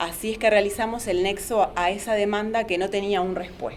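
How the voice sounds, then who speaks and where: The voice belongs to a woman at medium pitch. Audible room echo surrounds it. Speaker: psychologist and antiracist activist. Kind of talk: panel talk. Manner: fast.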